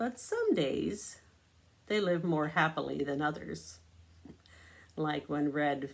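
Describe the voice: A woman's low-pitched voice with vocal fry, a slow pace and lively intonation.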